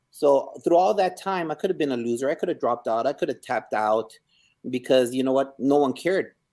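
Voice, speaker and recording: With a dark, mellow tone and a fairly high pitch, a man talks at a fairly quick pace with lively intonation, in a very clean recording with a silent background. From Ciudad Juarez, Mexico, raised in El Paso, Texas. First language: Spanish. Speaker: school principal. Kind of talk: interview.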